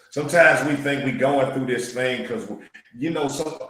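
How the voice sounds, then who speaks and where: In an American accent, a man talks at a moderate pace with audible room echo. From Louisiana. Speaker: podcast host. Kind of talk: casual interview. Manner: animated, preacher-like.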